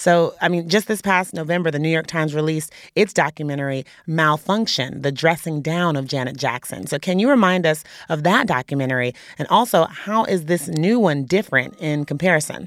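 A woman speaks with a very deep, low pitch at a fairly quick pace. Her pitch variation is ordinary, and the recording is very clean with a silent background. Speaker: podcast host. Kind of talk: news podcast hosting, conversational. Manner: casual, upbeat, chatty.

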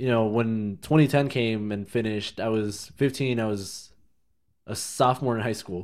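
At a fairly slow pace, a man talks in an unremarkable speaking voice of medium pitch with ordinary pitch variation. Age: 20s. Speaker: podcast co-host. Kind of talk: casual chat.

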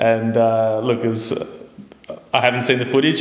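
Over noticeable background noise, a man speaks at medium pitch in a monotone, flat intonation. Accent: Australian. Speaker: football fan, friend of host. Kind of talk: storytelling. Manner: halting.

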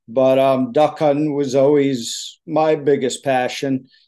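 Speaking in an American accent, a man with a fairly high pitch and a dark, mellow tone goes at a very slow pace. His intonation is monotone and flat. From US East Coast salt marsh area. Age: 50s. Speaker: choke tube maker and hunter. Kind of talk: interview.

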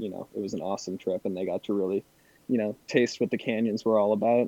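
A man with an American accent speaks at a fairly low pitch in a dark, mellow tone with fairly even intonation, recorded with a dry, close sound and no echo. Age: 20s. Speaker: charter fishing captain. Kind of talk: casual interview.

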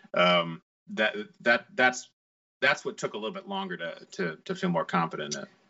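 A man at a moderate pace, with big swings in loudness and music in the background. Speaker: actor. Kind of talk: casual chat.

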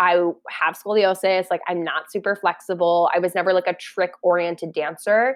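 A woman speaks with a General American accent at a medium pitch. Her intonation is monotone and flat, and her pace moderate. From Colorado, US. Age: 20s. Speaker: Broadway dancer and choreographer. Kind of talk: casual interview chat.

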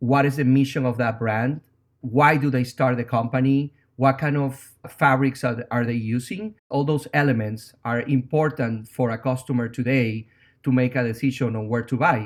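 A man with a Venezuelan accent at medium pitch, moderate pace and fairly even intonation, on a very clean recording with a silent background. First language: Spanish. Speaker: tech startup founder. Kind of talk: interview.

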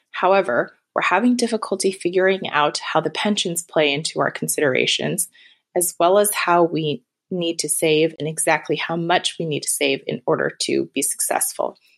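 A woman with vocal fry speaks at a fairly low pitch with ordinary pitch variation. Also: moderate pace. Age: 30s. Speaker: caller. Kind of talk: recorded voicemail question.

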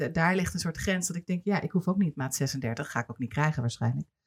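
The speaker is a woman with a fairly low pitch. Her voice sounds somewhat breathy. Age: 40s. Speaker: podcast host and television producer. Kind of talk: casual interview.

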